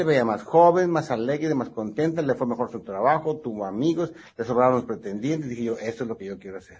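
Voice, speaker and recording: The voice is somewhat breathy, with lively intonation and big swings in loudness. There are hardly any pauses. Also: man, medium pitch for a man. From northwestern Mexico (Sonora, Baja California). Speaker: plastic surgeon. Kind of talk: interview.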